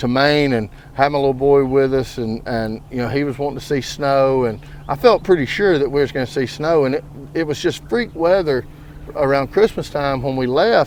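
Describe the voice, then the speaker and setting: Moving at a fairly quick pace, a man with an Alabama accent talks at medium pitch with ordinary pitch variation. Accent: US Southern (Alabama). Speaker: podcast host. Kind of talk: casual chat.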